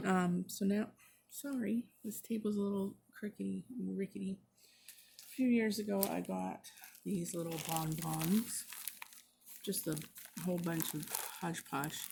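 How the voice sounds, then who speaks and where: The voice is soft-spoken, with ordinary pitch variation at a fairly slow pace. Background noise is noticeable. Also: woman. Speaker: craft vlogger. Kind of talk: casual chat. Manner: halting.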